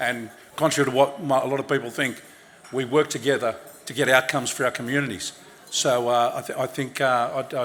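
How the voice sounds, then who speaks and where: A man with an Australian accent speaks fairly quickly at medium pitch, in a monotone, flat intonation. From Sydney, Australia. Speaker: politician. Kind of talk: speech at awards event. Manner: halting.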